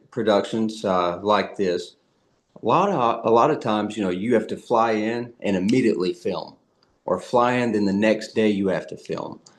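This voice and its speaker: With a Southern US accent, a man talks at a moderate pace. His pitch is medium, with ordinary variation. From US South. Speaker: actor. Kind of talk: interview. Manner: halting, many fillers and repeats.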